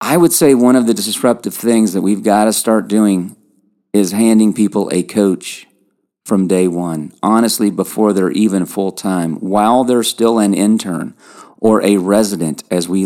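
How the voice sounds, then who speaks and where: At a moderate pace, a man with a slight Kentucky accent speaks at a fairly low pitch in a dark, mellow tone. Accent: slight Kentucky twang. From Kentucky, US. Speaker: podcast host and leadership coach. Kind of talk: scripted-style podcast monologue on coaching.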